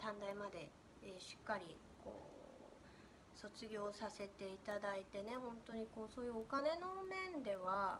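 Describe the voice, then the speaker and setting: Over noticeable background noise, a woman speaks fairly slowly in a fairly high voice with ordinary pitch variation. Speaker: spiritual coach. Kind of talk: casual monologue. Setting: at home. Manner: animated.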